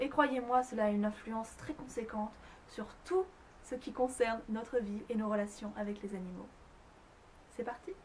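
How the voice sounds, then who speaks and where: A fairly high-pitched woman at a moderate pace, with long, frequent pauses and noticeable background noise. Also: ordinary pitch variation. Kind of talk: educational talk to camera about animal communication. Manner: whispered, soft.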